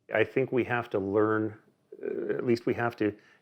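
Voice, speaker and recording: In a Canadian accent, a man talks with fairly even intonation. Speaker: Doukhobor community member. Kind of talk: documentary interview. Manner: hesitant, many fillers.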